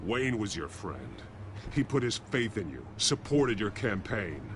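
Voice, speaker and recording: Over loud background noise, a man uses a put-on character voice at a fairly low pitch and a moderate pace. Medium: video game. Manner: terse, stern.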